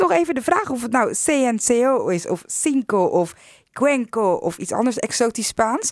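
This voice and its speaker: With noticeable background noise, a woman speaks fairly slowly at a high pitch with very wide pitch swings. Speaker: radio host. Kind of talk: radio show hosting.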